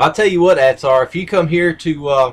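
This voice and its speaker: A man is speaking. His pace is fairly slow. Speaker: live streamer. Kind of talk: casual chat.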